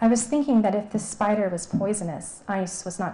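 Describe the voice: The clip is plain reading aloud.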